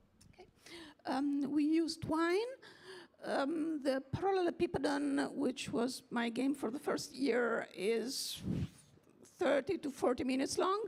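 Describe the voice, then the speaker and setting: A woman speaks at a fairly slow pace with long, frequent pauses, her pitch high and her intonation lively. Background noise is noticeable. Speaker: game developer and translator. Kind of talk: panel discussion. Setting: stage with audience.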